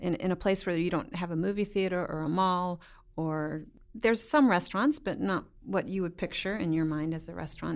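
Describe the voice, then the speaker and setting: A woman speaks in a plain, everyday voice, fairly low, with ordinary pitch variation. Her pace is moderate on a very clean recording with a silent background. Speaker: missionary at hospital.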